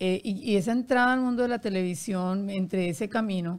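Someone with an ordinary speaking voice talks at a fairly slow pace with ordinary pitch variation. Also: woman. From Colombia, Barranquilla. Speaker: podcast host and publicist. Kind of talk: interview.

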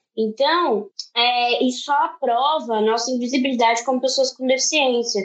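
With a high pitch, a woman talks at a fairly slow pace, her intonation fairly even and her loudness very even. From Brazil. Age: 20s. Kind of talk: online panel debate.

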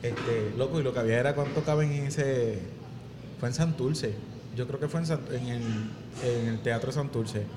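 A man's medium-pitched voice with a Puerto Rican accent, moderate pace, fairly even intonation, long and frequent pauses, and noticeable background noise. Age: 20s. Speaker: podcast host and singer. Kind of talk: casual chat. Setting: pizzeria.

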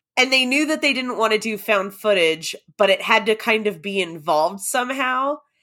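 In a very clean recording with a silent background, a woman with a fairly high pitch and a bright, sharp tone speaks at a moderate pace with lively intonation. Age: late 30s. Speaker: horror podcaster. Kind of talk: casual chat. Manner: casual, frequent 'like' fillers.

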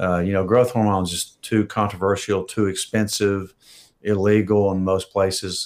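A man with a normal speaking voice talks at a fairly slow pace, fairly low in pitch with fairly even intonation. The recording is very clean, with a silent background. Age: 60s. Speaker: physician. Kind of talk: live Q&A.

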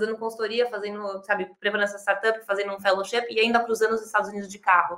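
Bright and sharp in tone, a woman's voice keeps fairly even intonation. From Brazil, São Paulo. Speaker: startup accelerator co-founder. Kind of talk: interview.

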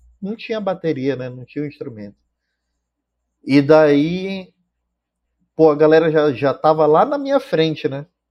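A man speaks at a fairly slow pace, his voice fairly high in pitch. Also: long, frequent pauses, big swings in loudness. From Manaus, Amazonas, Brazil. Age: 30s. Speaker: drummer. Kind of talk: casual chat. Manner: halting, many repetitions.

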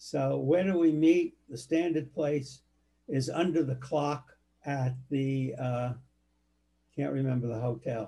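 Very slowly, a man speaks in a somewhat breathy voice with a dark, mellow tone and ordinary pitch variation. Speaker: family elder interviewed for oral history. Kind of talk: oral history interview. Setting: home office. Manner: halting.

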